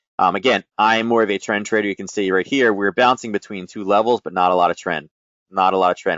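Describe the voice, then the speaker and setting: A man talks very quickly, his pitch sitting fairly low. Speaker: forex trading educator. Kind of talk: trading tutorial livestream. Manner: fast; casual, filler-heavy.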